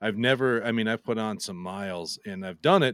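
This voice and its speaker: In a very clean recording with a silent background and a dry, close sound with no echo, a man speaks in an unremarkable speaking voice at a fairly low pitch. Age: 40s. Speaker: podcaster and maker. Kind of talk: casual chat.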